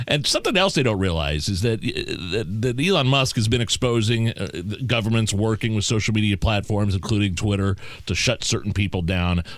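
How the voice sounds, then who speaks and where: A man speaks in a normal speaking voice with an American accent, fairly low in pitch and at a fairly quick pace. His loudness stays very even, with ordinary pitch variation. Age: 40s. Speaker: radio host. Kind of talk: casual chat.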